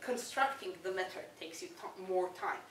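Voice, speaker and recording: A woman at a fairly quick pace, with audible room echo and noticeable background noise. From Israel. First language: Hebrew. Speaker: debating coach. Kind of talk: workshop lecture.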